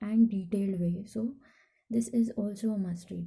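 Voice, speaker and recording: The pace of speech is fairly slow. It comes with a non-native accent. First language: not English. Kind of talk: casual talk to camera. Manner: slow, hesitant; anxious.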